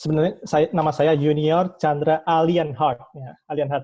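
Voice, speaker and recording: Fairly high in pitch, a man's voice proceeds at a fairly slow pace. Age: 20s. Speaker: student, president candidate. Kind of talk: candidate self-introduction at a meeting. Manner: halting, many self-corrections.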